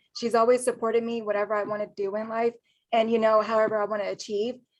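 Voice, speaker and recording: A woman with an American accent talks at a fairly quick pace. Her pitch is fairly high, and the background is quiet. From US Midwest, Columbus, Ohio. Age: 20s. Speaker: university student and network marketer. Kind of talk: casual interview.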